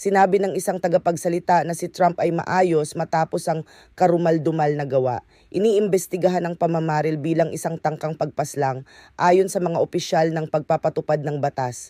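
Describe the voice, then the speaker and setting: A man with a high pitch and a dark, mellow tone comes through in a very clean, dry, close recording with a silent background and no echo. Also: fairly even intonation, fairly quick pace. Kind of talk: news reading. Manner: formal, steady, measured delivery; brisk, factual, newscaster-like.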